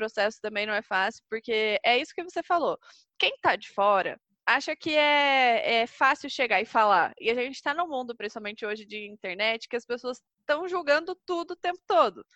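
A woman talks at a moderate pace in a bright, sharp tone with very wide pitch swings, her dry, close sound free of echo against a quiet background. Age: 20s. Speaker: entrepreneur. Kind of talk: casual chat.

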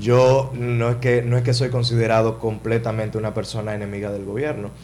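A man speaks at medium pitch and a moderate pace, his intonation fairly even. Room echo is audible. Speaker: politician, congressional candidate. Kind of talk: interview.

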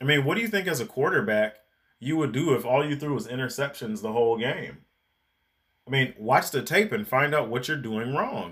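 At a fairly quick pace, a man with an unremarkable speaking voice and a fairly high pitch talks with lively intonation. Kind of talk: angry rant. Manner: heated, indignant, sarcastic and accusatory.

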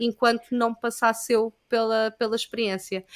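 In a very clean recording with a silent background, a woman with a fairly high pitch talks at a moderate pace. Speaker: yoga teacher. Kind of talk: casual chat. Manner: halting.

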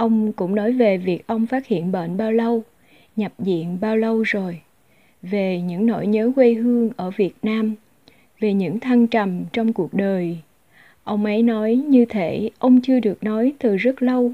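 A woman talks at a fairly slow pace with a fairly high pitch. Her tone is dark and mellow, with ordinary pitch variation. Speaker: podcast host and interpreter. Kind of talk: reading aloud a personal essay.

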